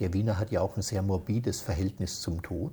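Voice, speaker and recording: A man with an Austrian accent speaks at a moderate pace. His tone is dark and mellow and somewhat breathy. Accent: Austrian dialect, still present. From Austria, Baden near Vienna. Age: 60s. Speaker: interviewee. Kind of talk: casual chat. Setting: at his home.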